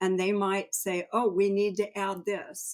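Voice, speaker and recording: A woman's normal speaking voice at a medium pitch and a moderate pace. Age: 60s. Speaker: cancer previvor and patient advocate. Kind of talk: podcast interview, personal testimony.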